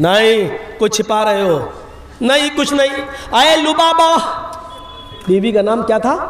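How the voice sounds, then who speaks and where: In a non-native accent, a man talks with an animated tone at an extremely high pitch, with noticeable background noise and audible room echo. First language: not Bengali (speaking Hindi). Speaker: Islamic preacher. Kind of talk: sermon. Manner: animated storytelling.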